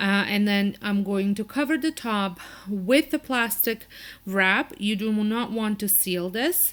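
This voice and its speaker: A woman with a non-native accent speaks very slowly at a fairly high pitch with ordinary pitch variation. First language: not English. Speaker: cooking channel host. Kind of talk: cooking tutorial. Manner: casual, with hesitations.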